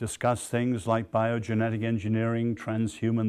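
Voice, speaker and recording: A man speaks with an English accent. His medium-pitched delivery is monotone and flat. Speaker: lecturer, social scientist. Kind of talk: lecture. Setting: stage with audience.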